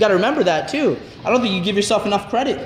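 Talking at a very fast pace, a man with a high pitch and ordinary pitch variation is heard with light background noise and audible room echo. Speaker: vlogger and gym partner. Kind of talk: casual gym chat. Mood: friendly, encouraging. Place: gym. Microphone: phone near.

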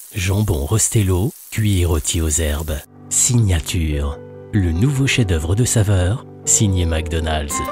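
With music in the background, a man speaks at a very slow pace in a very deep, low pitch with ordinary pitch variation. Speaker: voice actor. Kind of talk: TV commercial read.

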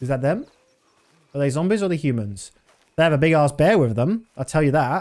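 In a British accent, a man speaks at a fairly quick pace with lively intonation and long, frequent pauses, against a quiet background. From Britain. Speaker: video game streamer. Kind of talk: live gameplay commentary. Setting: live stream. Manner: casual. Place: home room. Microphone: studio mic.

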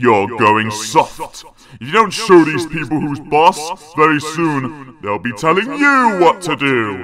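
A put-on character voice speaks at a fairly slow pace. There are hardly any pauses. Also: man, fairly high pitch for a man. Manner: sinister, urging.

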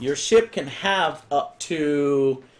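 Lively intonation from a male speaker. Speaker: stream host. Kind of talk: casual game tutorial commentary. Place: home room.

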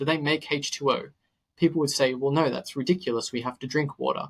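A man with an Australian accent speaks in a fairly high pitch. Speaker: nutritionist and health podcaster. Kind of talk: interview conversation. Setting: podcast recording.

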